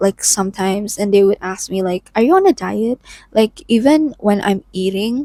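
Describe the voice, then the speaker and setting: A woman's dark, mellow tone at medium pitch, with a non-native accent, ordinary pitch variation, a moderate pace and a dry, close sound with no echo. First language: not English. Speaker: lifestyle vlogger. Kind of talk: personal vlog monologue. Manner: casual, frequent filler 'like'.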